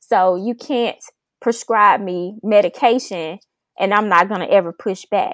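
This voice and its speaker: A woman with a Memphis accent talks at a fairly slow pace, her medium pitch showing ordinary variation. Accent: Southern US (Memphis). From Memphis, Tennessee, US South. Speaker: oncology research manager and PhD. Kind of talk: podcast interview.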